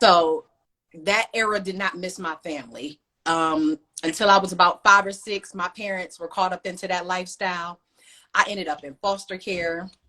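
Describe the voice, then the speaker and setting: With an American accent, a woman talks at a moderate pace and a medium pitch, her tone bright and sharp, her intonation fairly even and her loudness swinging widely. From US Midwest, Cleveland, Ohio. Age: 30s. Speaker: author. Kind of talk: interview.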